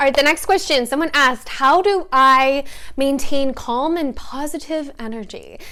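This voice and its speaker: Speaking with a slight Canadian accent, a woman has a bright, sharp tone and a high pitch at a moderate pace. The recording is very clean, with a silent background. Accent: Canadian, faint. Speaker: lifestyle vlogger. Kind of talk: casual Q&A chat. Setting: at home with coffee.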